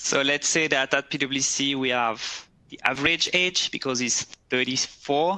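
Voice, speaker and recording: With a French accent, a man speaks at a fairly slow pace. His voice is fairly high, with fairly even intonation. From French-speaking Switzerland, Neuchâtel. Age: 30s. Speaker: recruiter. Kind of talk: webcast presentation. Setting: office. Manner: halting.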